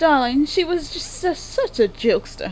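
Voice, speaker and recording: A woman's put-on character voice, extremely high pitched and drawling, with very wide pitch swings, a moderate pace and clear background noise. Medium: machinima. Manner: drawling, says darling often.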